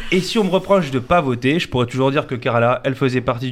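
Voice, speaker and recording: Noticeable background noise surrounds a man talking very fast. His pitch sits in the medium range. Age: 20s. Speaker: comedian. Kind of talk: comic monologue. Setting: radio studio.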